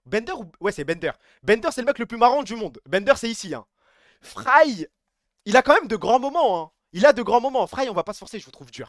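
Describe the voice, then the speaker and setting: A man's animated, extremely high voice with lively intonation, a fairly quick pace, long and frequent pauses and big swings in loudness, in a dry, close sound with no echo. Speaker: streamer. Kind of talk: casual live stream chat. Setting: live stream. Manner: fast.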